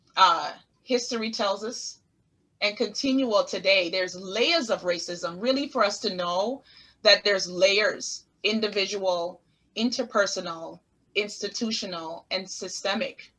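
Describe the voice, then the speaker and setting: A woman with a Caribbean accent speaks in a bright, sharp tone at medium pitch. Her pace is fairly slow and her pitch varies an ordinary amount. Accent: Caribbean island. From US Virgin Islands (Saint Thomas). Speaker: therapist. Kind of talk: interview.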